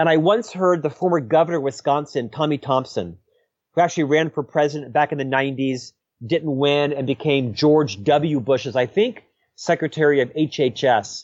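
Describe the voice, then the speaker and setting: A man with an American accent uses a normal speaking voice at a fairly high pitch, with ordinary pitch variation and a moderate pace. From US South, Central Florida. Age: 50s. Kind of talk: interview.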